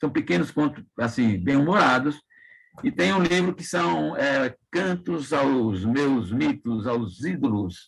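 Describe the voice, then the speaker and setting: The man's delivery is very slow. Still, his intonation stays lively. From Brazil, Sergipe (Itabaiana). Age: 70s. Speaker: writer. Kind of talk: interview.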